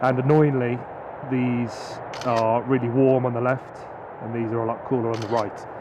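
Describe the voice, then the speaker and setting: Noticeable background noise and audible room echo fill the recording. A man speaks fairly quickly in a medium pitch with monotone, flat intonation. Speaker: drone videographer vlogger. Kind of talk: casual vlog narration. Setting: outdoors at night.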